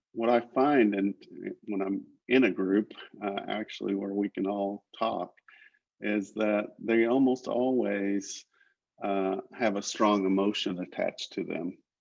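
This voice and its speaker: Speaking at a very slow pace with long, frequent pauses, a man with an American accent uses a fairly low pitch and fairly even intonation. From Oklahoma. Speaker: literacy nonprofit leader, former educator. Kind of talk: presentation on a video call. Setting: video call. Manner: halting, many fillers.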